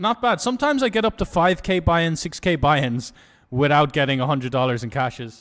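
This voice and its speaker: The recording is very clean, with a silent background. A man with a plain, everyday voice and a fairly high pitch talks at a fairly quick pace. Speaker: poker streamer. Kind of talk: casual live stream commentary.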